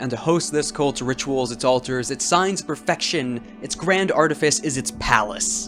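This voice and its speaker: A man's fairly high voice with lively intonation, moderate pace, and hardly any pauses over music in the background. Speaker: tabletop game reviewer. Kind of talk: casual game rules explainer to camera.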